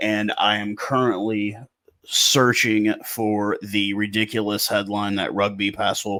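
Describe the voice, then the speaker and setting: A man with an American accent speaks in a fairly low pitch with a bright, sharp tone. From USA. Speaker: rugby commentator YouTuber. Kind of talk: casual commentary vlog.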